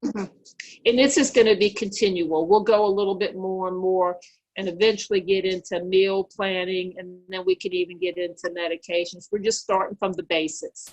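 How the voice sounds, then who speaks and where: A woman talks at a fairly quick pace in a normal speaking voice. Her pitch is medium and her intonation fairly even. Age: 60s. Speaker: diabetes educator. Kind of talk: educational Q&A.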